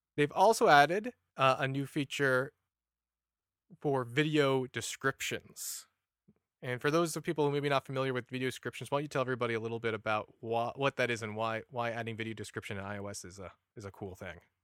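A man with an unremarkable speaking voice talks at medium pitch with ordinary pitch variation and big swings in loudness. The recording is very clean with a silent background and a dry, close sound with no echo. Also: fairly quick pace. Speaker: assistive technology specialist and podcast host. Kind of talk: casual chat.

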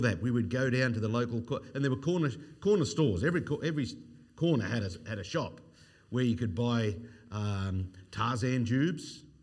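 With an Australian accent, a man talks at a moderate pace in a medium pitch, his intonation lively and the room echo audible. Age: 50s. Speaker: evangelist. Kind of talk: sermon.

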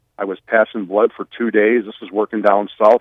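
The man's voice is fairly low in pitch. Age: 50s. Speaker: former professional wrestler. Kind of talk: casual chat. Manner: halting.

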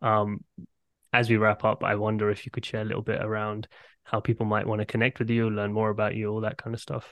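A man with a London accent talks at a very fast pace. His fairly low voice stays monotone and flat. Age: 30s. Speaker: podcast host. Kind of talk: interview conversation.

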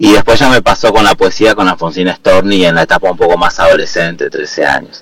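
Over noticeable background noise, a man talks at a fairly quick pace with very even loudness and hardly any pauses. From Argentina, Neuquén (Patagonia). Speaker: poet and literature teacher. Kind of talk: radio interview.

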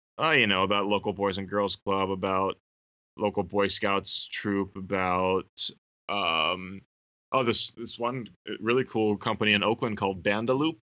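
A man with an American accent uses an unremarkable speaking voice, fairly low in pitch, with ordinary pitch variation at a moderate pace. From Northern California. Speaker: podcast co-host and substitute teacher. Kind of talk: casual chat.

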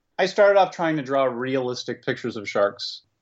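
With lively intonation, a man talks in an unremarkable speaking voice. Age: 50s. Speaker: cartoonist. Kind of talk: casual chat.

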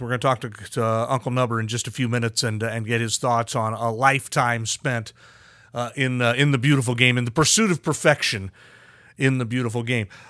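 This man talks at a moderate pace, his medium-pitched voice carrying a bright, sharp tone. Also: very clean recording, silent background. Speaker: podcast host. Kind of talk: casual interview chat.

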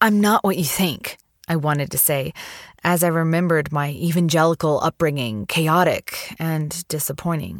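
An unremarkable speaking voice, a woman speaks at a moderate pace and fairly low pitch with ordinary pitch variation, on a very clean recording with a silent background. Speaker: story reader. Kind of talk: reading aloud a personal essay.

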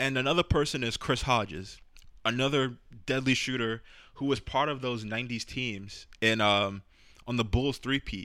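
Speaking with a New York accent, a man uses a medium pitch, ordinary pitch variation and a bright, sharp tone at a moderate pace. The recording is very clean with a silent background. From New York City, the Bronx. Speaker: podcast host. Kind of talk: casual chat.

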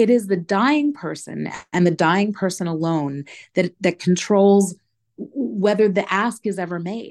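A plain, everyday voice from a woman with an American accent, medium in pitch with ordinary pitch variation, at a fairly slow pace against a quiet background. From New York. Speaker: advocacy campaign director. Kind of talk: interview.

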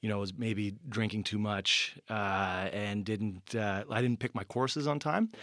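A man with a normal speaking voice talks at a moderate pace with a fairly low pitch and fairly even intonation. The recording is very clean, with a silent background. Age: 30s. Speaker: PhD graduate, bat biologist. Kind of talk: casual interview.

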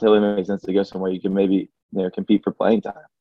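In an Alabama accent, a man speaks with a fairly low pitch. His intonation is monotone and flat. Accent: US Southern (Alabama). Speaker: college basketball player. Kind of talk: casual interview. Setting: conference call.

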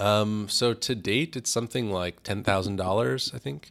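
Recorded very cleanly against a silent background, a man speaks at a moderate pace and fairly low pitch with ordinary pitch variation. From US West, California. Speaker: activist and artist. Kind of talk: interview. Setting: studio. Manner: halting, many fillers.

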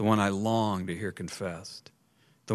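Someone does plain reading aloud. Their intonation is fairly even.

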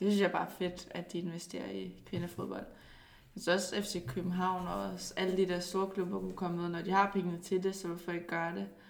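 A woman's fairly low voice at a fairly quick pace, monotone and flat, with audible room echo. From Denmark, Zealand. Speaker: professional footballer. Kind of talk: casual interview.

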